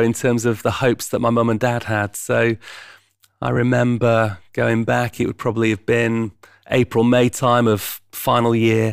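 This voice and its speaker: At a fairly slow pace, a man with a medium pitch speaks in a fairly even intonation. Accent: Yorkshire. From East Yorkshire, England. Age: 50s. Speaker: charity founder and chief executive. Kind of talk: interview conversation.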